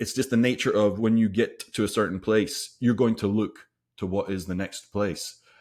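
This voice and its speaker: A man with a medium pitch and an unremarkable speaking voice talks at a moderate pace with fairly even intonation on a very clean recording with a silent background. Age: 40s. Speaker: podcast co-host. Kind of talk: casual chat.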